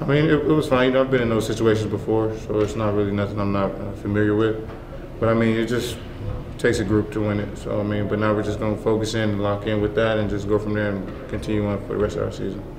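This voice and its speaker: A man's fairly low voice at a very fast pace, fairly even in intonation, with audible room echo and noticeable background noise. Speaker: college basketball player. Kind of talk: press interview.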